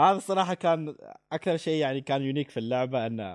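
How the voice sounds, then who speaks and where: A man with a plain, everyday voice talks at a fairly quick pace with ordinary pitch variation against a quiet background. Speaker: podcast co-host. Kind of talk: casual chat.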